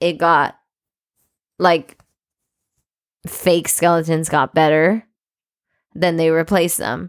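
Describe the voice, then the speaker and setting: A woman with a fairly low voice pauses long and often. The sound is dry and close with no echo, on a very clean recording with a silent background. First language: not English. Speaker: podcast co-host. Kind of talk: reading aloud; casual chat.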